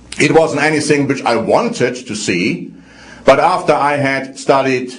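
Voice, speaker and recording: A man with a slight German accent, fairly high-pitched and somewhat breathy, at a moderate pace with audible room echo. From Germany. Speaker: religious program presenter. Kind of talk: religious teaching talk.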